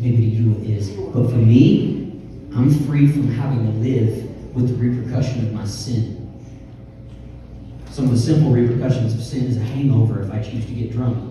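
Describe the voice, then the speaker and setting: Strong room echo and light background noise surround a man speaking at a moderate pace with fairly even intonation. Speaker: youth pastor. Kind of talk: sermon. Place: stage.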